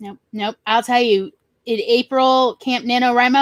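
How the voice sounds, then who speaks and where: Heard in a dry, close sound with no echo, a woman with a Southern US accent speaks at a moderate pace. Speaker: writer. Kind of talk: casual chat. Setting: live stream.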